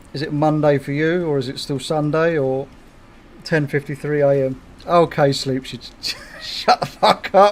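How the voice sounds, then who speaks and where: A man speaks with a southeast English accent at a fairly high pitch. His pace is fairly slow, with ordinary pitch variation. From southeast England, Kent. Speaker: gaming streamer. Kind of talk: casual livestream chat.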